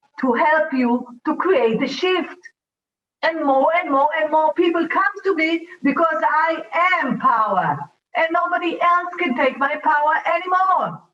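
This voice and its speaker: A woman with an Israeli accent, high-pitched, at a fairly slow pace, with ordinary pitch variation and very even loudness. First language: Hebrew. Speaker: talk show host and facilitator. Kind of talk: motivational talk show. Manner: animated.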